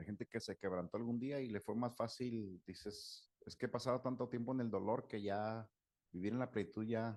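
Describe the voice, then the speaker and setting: Against a quiet background, a man with a Mexican accent speaks at a moderate pace and medium pitch, his intonation fairly even and the sound dry and close with no echo. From Mexico. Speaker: psychologist/therapist. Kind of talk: talk with Q&A.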